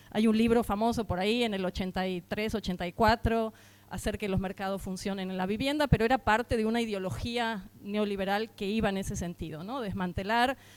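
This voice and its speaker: Speaking at a medium pitch, a woman moves at a fairly quick pace with hardly any pauses and a fairly even intonation. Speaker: housing rights activist. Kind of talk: conference talk. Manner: hesitant fillers.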